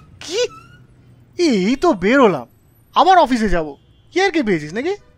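A man's extremely high voice swings very widely in pitch. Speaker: audio story voice actor. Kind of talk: audio drama dialogue.

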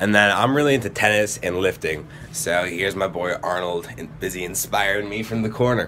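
A man with an American accent talks at a fairly quick pace, his pitch fairly low with ordinary variation. Light background noise is audible. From Wisconsin, Green Bay. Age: young. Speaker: college student tour guide. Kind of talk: casual dorm room tour. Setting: dorm room. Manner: casual, upbeat. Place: home room. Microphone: phone near.

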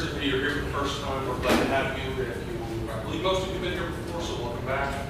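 A very fast pace with audible room echo and loud background noise. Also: man. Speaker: presenter. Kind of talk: meeting announcements. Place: classroom. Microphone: camera far.

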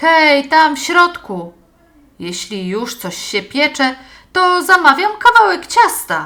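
A put-on character voice is raised and projected, with very wide pitch swings and big swings in loudness. The pace is fairly slow. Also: woman, high pitch for a woman. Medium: read story. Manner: hearty, jaunty calling out.

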